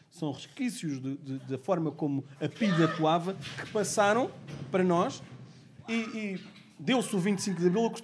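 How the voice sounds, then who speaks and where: High-pitched man, fairly slow pace, lively intonation. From Portugal, Amadora (Lisbon area). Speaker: lawyer. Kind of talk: podcast discussion. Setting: community sports court. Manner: halting, repeats words.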